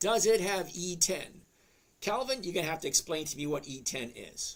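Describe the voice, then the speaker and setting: With a Boston accent, a man speaks at a high pitch with lively intonation. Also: moderate pace. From Massachusetts South Shore, lives in Florida. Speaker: live stream host answering chat about stock trading. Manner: casual, conversational.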